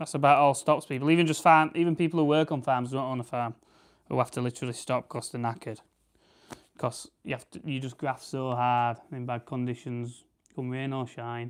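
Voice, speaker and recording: A man with a South Yorkshire accent, medium pitch, a relaxed tone, fairly even intonation and a fairly quick pace, on a very clean recording with a silent background. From South Yorkshire, England. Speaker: farmer and livestreamer. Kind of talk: casual live stream chat with viewers. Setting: live stream while preparing grouse. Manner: relaxed, chatty.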